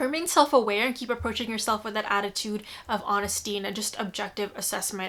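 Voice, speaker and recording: A woman talks at a fairly quick pace in a fairly high, bright, sharp voice with ordinary pitch variation. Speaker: tarot reader and astrologer. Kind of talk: intuitive tarot horoscope reading. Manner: fast; hesitant, many fillers.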